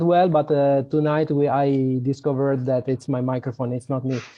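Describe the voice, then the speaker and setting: A man with a slight Italian accent speaks at a fairly high pitch in a flat monotone. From Italy. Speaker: software developer. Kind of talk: live webinar presentation. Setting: live online webinar.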